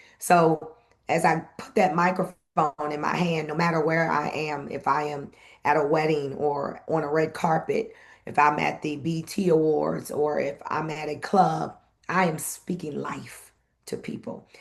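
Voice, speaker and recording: In a very deep, low voice marked by vocal fry, a woman speaks fairly slowly with monotone, flat intonation. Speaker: event host and former radio personality. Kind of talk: interview conversation.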